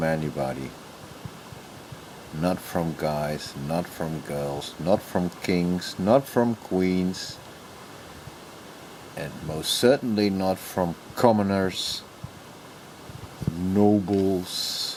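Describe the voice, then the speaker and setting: A man with a Dutch accent speaks at a very slow pace, leaving long, frequent pauses. His very deep, low pitch varies in an ordinary way, and noticeable background noise is present. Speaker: YouTuber. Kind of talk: casual vlog monologue. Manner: halting.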